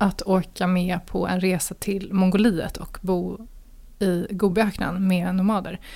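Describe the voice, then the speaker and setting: Her voice sits at a medium pitch. She speaks very slowly. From Sweden, Gothenburg. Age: 40s. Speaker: single being interviewed, communications strategist. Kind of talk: casual interview. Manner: hesitant, filler-heavy.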